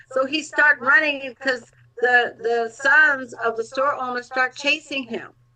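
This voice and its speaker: Using a raised, projected voice, a woman speaks at a high pitch and a fairly slow pace with fairly even intonation. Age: 60s. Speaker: health advocate. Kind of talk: casual chat.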